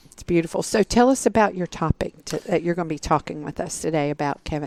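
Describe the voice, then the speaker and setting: A woman in a Southern US accent, very fast, with lively intonation and big swings in loudness. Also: fairly low pitch for a woman, dry, close sound with no echo. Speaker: podcast host. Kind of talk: podcast interview.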